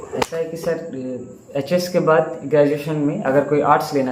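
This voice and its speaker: Someone speaks at a moderate pace in a Telangana accent, with fairly even intonation. Noticeable background noise and audible room echo are present. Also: man. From South India, Telugu background. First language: Telugu (speaking Hindi). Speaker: exam topper. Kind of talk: interview. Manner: halting.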